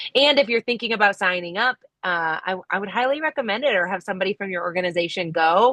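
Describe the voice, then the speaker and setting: An ordinary speaking voice from a woman, with lively intonation, a fairly quick pace and a dry, close sound with no echo. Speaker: compost council member presenting at meeting. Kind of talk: online meeting update.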